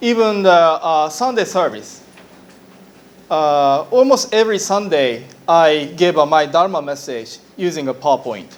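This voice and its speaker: A man with a Japanese accent at a fairly slow pace, with a fairly high pitch and very wide pitch swings. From Japan, Hiroshima. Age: 40s. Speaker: Buddhist minister. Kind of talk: lecture. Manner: halting.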